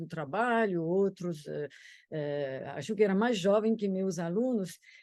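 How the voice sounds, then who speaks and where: A woman with a French accent, fairly low pitched with a dark, mellow tone, at a very slow pace with ordinary pitch variation. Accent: French accent in Brazilian Portuguese. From France, Paris. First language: French (speaking Portuguese). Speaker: law professor. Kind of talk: interview. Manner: halting, many hesitations. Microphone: echo, duplicated sound.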